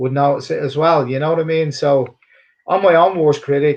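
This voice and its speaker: The speaker moves at a fairly quick pace with monotone, flat intonation. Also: man. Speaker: MMA and boxing cutman. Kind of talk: casual interview. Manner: halting, with frequent repetitions.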